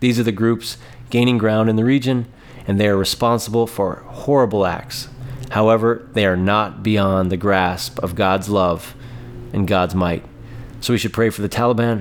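A man's fairly low voice with ordinary pitch variation amid noticeable background noise. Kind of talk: fervent intercessory prayer, petitioning God for Afghanistan's believers. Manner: earnest, repetitive 'Lord... Father...' cadence, pleading tone; halting with frequent fillers and repeated words.

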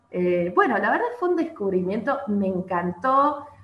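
Audible room echo surrounds the recording. A woman talks with lively intonation. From Argentina, San Luis. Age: 30s. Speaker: violinist. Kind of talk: interview.

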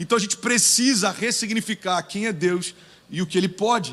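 A man speaks in a high pitch with an animated tone, his voice raised and projected. Noticeable background noise can be heard. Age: 30s. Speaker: pastor. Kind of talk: sermon.

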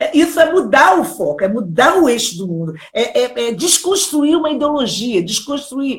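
Very wide pitch swings mark the way this woman speaks. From Brazil, Rio de Janeiro. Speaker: children's author and educator. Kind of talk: live interview.

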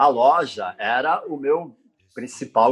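A man speaking at a very slow pace. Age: 60s. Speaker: surf photographer. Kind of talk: interview.

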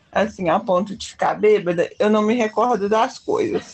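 In a plain, everyday voice, a woman speaks at a moderate pace. Her pitch is fairly high. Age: 20s. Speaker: podcast co-host. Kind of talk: casual chat.

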